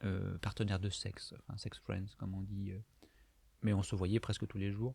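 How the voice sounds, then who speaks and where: With monotone, flat intonation, a man speaks at a moderate pace in a fairly low, somewhat breathy voice. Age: 30s. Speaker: video diarist. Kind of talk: personal confessional monologue. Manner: halting, many hesitations.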